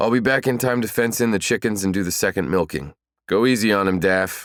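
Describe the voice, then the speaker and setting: A raspy put-on character voice from a man, fairly low in pitch with ordinary variation, at a fairly quick pace on a very clean recording with a silent background. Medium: read story. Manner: warm, relaxed.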